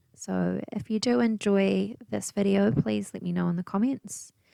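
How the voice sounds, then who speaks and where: Moderate pace from a soft-spoken woman. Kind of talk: casual talk to camera, relaxing paint and chat. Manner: soft-spoken, quiet, chilled.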